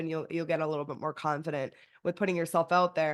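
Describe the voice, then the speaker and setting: Against a quiet background, a woman is speaking. Her tone is animated. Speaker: podcast host, freelance paralegal business coach. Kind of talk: casual interview chat. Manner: fast.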